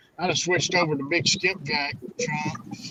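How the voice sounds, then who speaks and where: A man speaks with a Southern US accent. His intonation is fairly even. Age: 60s. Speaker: catfish angler. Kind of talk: casual chat.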